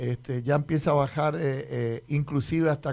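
A man speaks with a somewhat breathy voice. He keeps a fairly slow pace and fairly even intonation. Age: 50s. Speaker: municipal traffic director. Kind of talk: radio interview. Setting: radio studio. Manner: halting, many repetitions.

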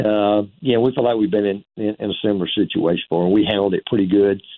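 Talking at a fairly quick pace, a man with a fairly low pitch and ordinary pitch variation has a plain, everyday voice. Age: 60s. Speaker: college football head coach. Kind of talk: interview.

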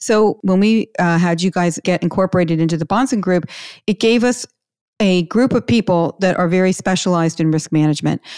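In a very clean recording with a silent background and a dry, close sound with no echo, a woman with a fairly low pitch talks at a moderate pace with ordinary pitch variation in a normal speaking voice. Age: 60s. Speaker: podcast host, financial advisor. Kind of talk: interview chat.

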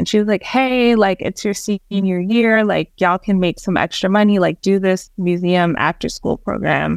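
A woman speaks with a New York accent at a moderate pace. The sound is dry and close with no echo against a quiet background. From New York City, born in Jamaica. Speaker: museum nonprofit research manager. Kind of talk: podcast interview.

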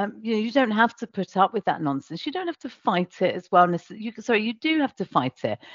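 A woman with a British accent speaks at a very fast pace with hardly any pauses, her fairly high pitch swinging very widely, with vocal fry. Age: 40s. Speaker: agency founder and CEO. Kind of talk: interview.

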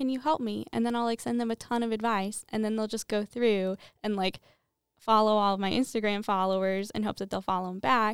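A woman with a plain, everyday voice speaks at a fairly high pitch and a fairly quick pace with fairly even intonation, in a dry, close sound with no echo on a very clean recording with a silent background. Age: 20s. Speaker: small business owner. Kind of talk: casual chat.

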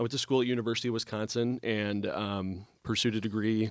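A fairly low-pitched man with an American accent speaks with monotone, flat intonation on a very clean recording with a silent background. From US Midwest. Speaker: restaurant owner. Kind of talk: casual interview chat. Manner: joking, friendly.

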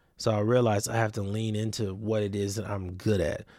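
A plain, everyday voice belongs to a man with an American accent, at medium pitch and a moderate pace. The recording is very clean, with a silent background. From US West Coast, Los Angeles area (Compton, Watts, Long Beach). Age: 30s. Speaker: podcast host and entrepreneur. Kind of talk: solo podcast monologue, casual reflection. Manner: casual, conversational.

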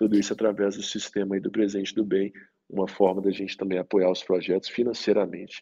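A man's fairly low, dark and mellow voice, very fast and monotone with flat intonation. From Minas Gerais, Brazil. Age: 30s. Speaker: economist and social entrepreneur. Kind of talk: interview.

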